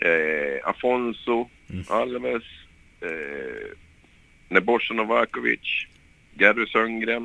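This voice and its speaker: Very slow speech from a man, broken by long, frequent pauses, his loudness rising and falling sharply. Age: 30s. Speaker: former professional footballer. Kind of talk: interview. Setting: phone call. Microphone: poor phone line sound.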